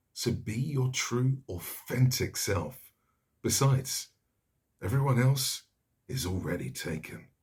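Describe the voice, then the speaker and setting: A man speaks at a fairly slow pace with medium pitch. His voice is somewhat breathy, broken by long, frequent pauses. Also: ordinary pitch variation. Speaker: voice actor. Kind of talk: TV commercial read.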